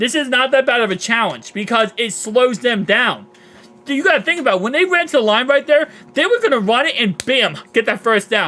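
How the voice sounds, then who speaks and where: A raised, projected voice speaks at a fairly quick pace with lively intonation. Noticeable background noise is audible. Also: man, extremely high pitch for a man. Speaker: sports fan live streamer. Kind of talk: live game reaction. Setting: live stream. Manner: animated.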